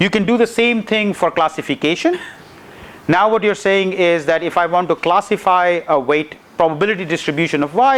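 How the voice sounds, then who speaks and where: Amid noticeable background noise, a man with a high pitch speaks at a fairly quick pace, with very even loudness and ordinary pitch variation. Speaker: university lecturer. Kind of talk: lecture. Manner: fast.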